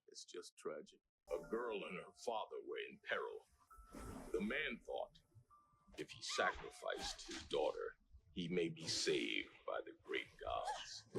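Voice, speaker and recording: A man uses a put-on character voice pitched extremely high. He speaks at a fairly slow pace with long, frequent pauses. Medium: voice reel. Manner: solemn, storytelling.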